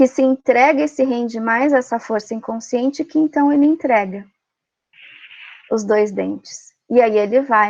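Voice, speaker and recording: A high-pitched woman speaks at a fairly slow pace with ordinary pitch variation. The background is quiet. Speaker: Jungian psychology speaker. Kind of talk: lecture.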